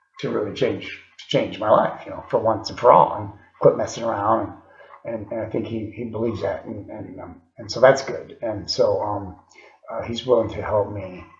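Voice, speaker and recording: Audible room echo surrounds a man whose volume rises and falls sharply. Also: moderate pace. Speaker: video diarist in recovery. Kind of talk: video diary. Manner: halting, many fillers.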